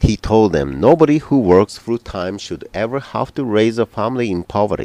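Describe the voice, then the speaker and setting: A man with a Japanese accent speaks at a moderate pace and medium pitch. His pitch swings very widely, and the sound is dry and close with no echo. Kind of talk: news script reading.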